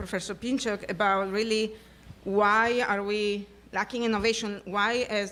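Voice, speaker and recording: Loud and bright, sharp in tone, a woman speaks at a moderate pace and medium pitch with fairly even intonation. The recording is very clean, with a silent background. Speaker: physician and audience questioner. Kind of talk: audience question at symposium. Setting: auditorium with audience.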